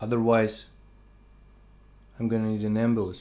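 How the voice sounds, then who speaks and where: The speaker is a man. His pitch is medium. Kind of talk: casual talk to camera, food tasting monologue. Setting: close ambisonic binaural mic, quiet room. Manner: soft-spoken, slow, calm.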